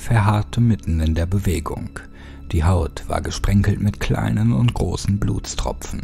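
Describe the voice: Simply plain reading aloud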